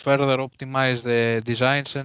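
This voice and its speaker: Over a quiet background, a man speaks at a fairly slow pace with monotone, flat intonation. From Greece. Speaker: conference speaker, researcher. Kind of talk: Q&A answer. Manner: halting.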